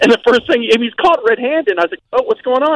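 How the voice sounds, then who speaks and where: A man talks with a dry, close sound that carries no echo. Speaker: caller. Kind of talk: casual chat. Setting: phone call.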